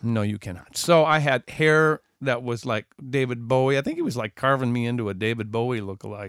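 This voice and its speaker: A man with an American accent speaks in an animated tone at a fairly quick pace, medium in pitch with ordinary pitch variation. The sound is dry and close, with no echo. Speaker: musician and podcast host. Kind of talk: casual chat. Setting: studio.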